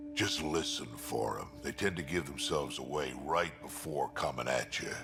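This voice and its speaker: A man's put-on character voice over clear background music. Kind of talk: tough soldier talk. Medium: video game. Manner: gruff, blunt.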